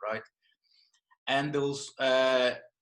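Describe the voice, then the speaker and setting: A man speaks at a medium pitch with a Brazilian accent. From northern Brazil, Belém. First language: Portuguese. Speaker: yoga and jiu-jitsu teacher. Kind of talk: podcast interview. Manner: halting.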